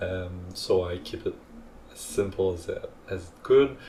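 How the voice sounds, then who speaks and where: With a non-native accent, a man talks at a very slow pace with ordinary pitch variation. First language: not English. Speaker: hobbyist 3D printing creator. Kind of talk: tutorial narration. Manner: hesitant, many fillers.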